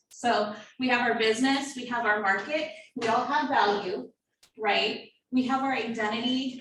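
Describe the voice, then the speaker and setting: With audible room echo, a woman speaks at a moderate pace and a fairly high pitch, her intonation fairly even. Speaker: marketing workshop presenter. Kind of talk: workshop lecture.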